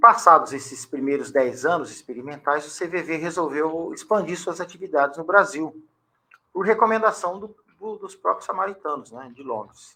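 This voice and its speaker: This man's voice sits high in pitch, with a bright, sharp tone, lively intonation and big swings in loudness. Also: moderate pace. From Brazil, São Paulo coast (São Vicente/Santos). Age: 60s. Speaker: educator and historian. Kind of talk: interview.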